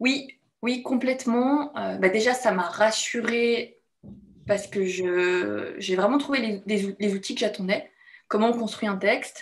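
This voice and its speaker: The background stays quiet. Words come out very slowly. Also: woman, fairly high pitch for a woman, ordinary pitch variation. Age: 30s. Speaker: bootcamp participant giving testimonial. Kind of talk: testimony interview. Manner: halting, many hesitations. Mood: reflective, warm. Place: home room. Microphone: video call.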